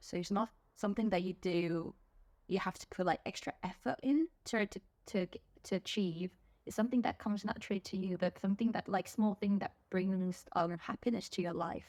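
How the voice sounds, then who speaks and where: A woman speaks fairly quickly at a medium pitch, with an English accent. The sound is dry and close, with no echo. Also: ordinary pitch variation. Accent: English accent picked up as a child. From South Korea, childhood partly in England. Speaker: music fan. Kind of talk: interview. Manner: hesitant, many fillers.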